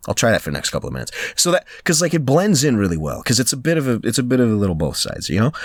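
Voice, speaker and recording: Against noticeable background noise, a man with a medium pitch races along at a very fast pace in very wide pitch swings. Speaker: voice actor. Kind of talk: casual chat. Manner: halting, self-correcting.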